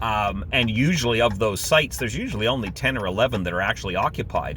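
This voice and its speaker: Lively in intonation, a man talks at medium pitch and a fairly quick pace. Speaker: RV camping vlogger. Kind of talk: casual vlog monologue. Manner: loud; animated.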